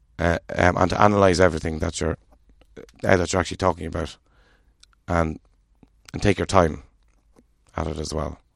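An Irish accent at a moderate pace, fairly even intonation, and a quiet background. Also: man. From Ireland. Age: 40s. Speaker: guest with a stammer. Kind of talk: casual interview. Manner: halting.

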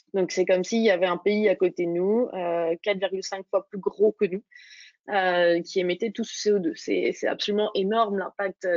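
Using an unremarkable speaking voice, a woman of medium pitch speaks at a fairly slow pace with fairly even intonation. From Burgundy, France (Dijon). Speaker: startup founder. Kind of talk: interview.

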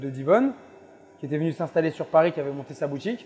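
Fairly high-pitched male speech set against background music. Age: 20s. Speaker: pastry chef. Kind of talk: interview.

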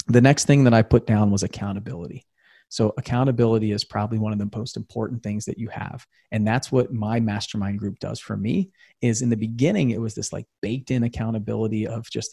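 Dry and close with no echo, a man's somewhat breathy voice has a dark, mellow tone, medium pitch, fairly even intonation and a fairly quick pace. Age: 40s. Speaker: real estate investor and podcast host. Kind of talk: motivational talk on a livestream. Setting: Facebook live video.

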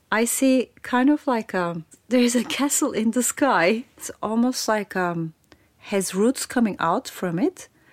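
Against a silent background on a very clean recording, a woman with a Turkish accent speaks at a fairly slow pace with lively intonation, the sound dry and close with no echo. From Turkey. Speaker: play expert and futurist. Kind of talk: personal narration with demonstrations.

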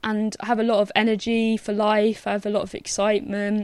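A woman speaks at a fairly high pitch in a plain, everyday voice. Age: 20s. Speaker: podcast co-host. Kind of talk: casual chat.

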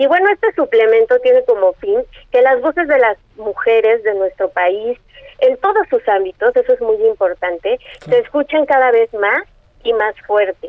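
A woman's high voice moves at a moderate pace with very wide pitch swings. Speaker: newspaper editor. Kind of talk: interview.

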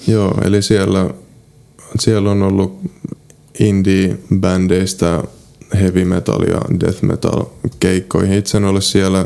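Noticeable background noise sits under a man speaking at a fairly slow pace with long, frequent pauses, his very deep, low pitch, very even loudness and monotone, flat intonation all held throughout. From Finland, South Ostrobothnia (Seinäjoki). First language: Polish (speaking Finnish). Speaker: travel writer and medical student. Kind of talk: interview. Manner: halting.

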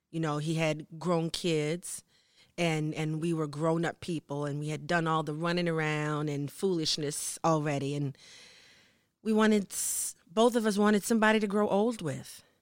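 A very deep, low female voice with ordinary pitch variation, on a very clean recording with a silent background. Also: moderate pace. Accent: American. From US South, New Orleans. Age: 50s. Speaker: singer. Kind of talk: interview.

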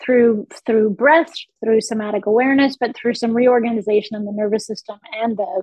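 A woman's fairly high voice at a fairly quick pace, fairly even in intonation, with a slightly mellow tone and a dry, close sound with no echo

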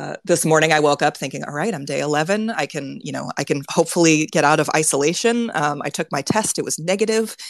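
Pitch moves in an ordinary way. The delivery is at a fairly quick pace. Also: woman. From California, Silicon Valley. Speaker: workplace consultant. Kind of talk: casual interview. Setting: live audio chat room. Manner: halting, many fillers.

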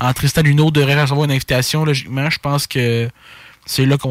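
A man speaks with monotone, flat intonation. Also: dry, close sound with no echo. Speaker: sports podcast co-host. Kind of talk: casual chat.

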